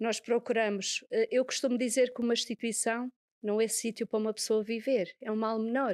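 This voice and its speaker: In a Madeiran accent, a woman with a fairly high pitch speaks at a moderate pace with fairly even intonation, heard on a very clean recording with a silent background and a dry, close sound with no echo. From Madeira, Portugal. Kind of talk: interview.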